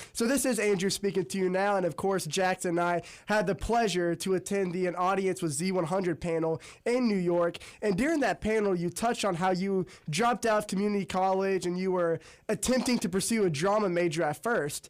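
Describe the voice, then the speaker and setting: A high-pitched man talks fairly quickly with ordinary pitch variation and very even loudness. The recording is very clean, with a silent background. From Metro Atlanta, Georgia. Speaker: student radio host. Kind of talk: interview.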